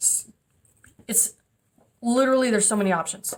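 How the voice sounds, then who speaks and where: Fairly even intonation carries speech at a moderate pace. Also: woman. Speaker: metalsmithing teacher. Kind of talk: tutorial.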